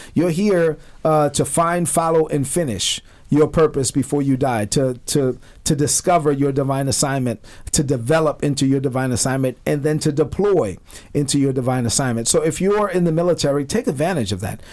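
This man has a New York accent and a fairly high pitch. He talks at a fairly quick pace with ordinary pitch variation. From Brooklyn, New York. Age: 40s. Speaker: retired army officer and minister. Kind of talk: radio interview.

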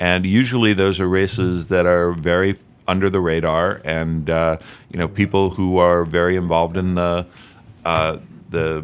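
In a very clean recording with a silent background, a man with a very deep, low pitch and an American accent speaks at a moderate pace with fairly even intonation. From Albany, New York. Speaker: election attorney. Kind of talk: radio interview.

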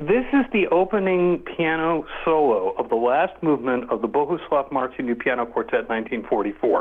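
A man at a fairly high pitch with very wide pitch swings, very even loudness, a moderate pace and hardly any pauses, over noticeable background noise. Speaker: composer. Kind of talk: casual interview.

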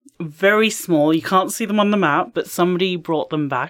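A woman with an English accent and lively intonation, over noticeable background noise. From England. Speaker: life and career coach. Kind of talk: casual interview.

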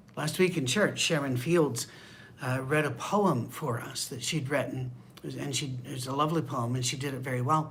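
A man with a fairly high pitch talks at a moderate pace with fairly even intonation, and audible room echo surrounds him. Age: 60s. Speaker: pastor. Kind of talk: bible study. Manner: casual conversational.

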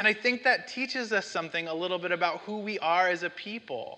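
Over noticeable background noise, a man speaks in a raised, projected voice at a high pitch. His pace is fairly quick and his intonation lively. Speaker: pastor. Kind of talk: sermon. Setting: church. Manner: loud, shouts at times.

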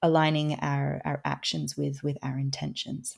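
Her pace stays moderate. The woman talks with an Australian accent. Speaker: author and food systems educator. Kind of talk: interview conversation.

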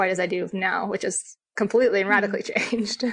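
A woman talks at a fairly quick pace. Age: 30s. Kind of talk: testimony. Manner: halting.

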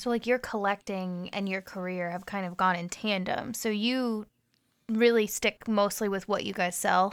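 In a very clean recording with a silent background, a woman with a normal speaking voice speaks at a medium pitch and moderate pace with fairly even intonation. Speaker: podcast co-host. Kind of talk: casual chat.

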